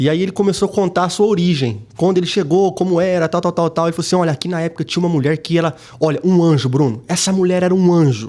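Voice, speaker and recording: A very fast delivery with ordinary pitch variation. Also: man. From US, Connecticut (Brazilian family, moved from Brazil at nine). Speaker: pastor. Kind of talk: casual interview chat.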